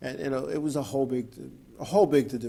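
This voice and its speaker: The tone is dark and mellow. The speech moves at a moderate pace. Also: man. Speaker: racing talk radio host and former racer. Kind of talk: talk radio monologue. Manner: halting, repetitive.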